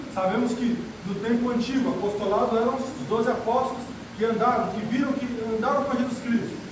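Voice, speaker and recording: A man with an extremely high pitch and monotone, flat intonation at a fairly quick pace, with audible room echo and noticeable background noise. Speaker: preacher. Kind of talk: sermon. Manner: fast.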